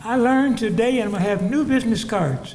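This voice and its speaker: A man's high-pitched voice, full of lively intonation, moves at a fairly slow pace through noticeable background noise and audible room echo. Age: 80s+. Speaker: war veteran, cardiologist, speaker. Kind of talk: ceremony speech.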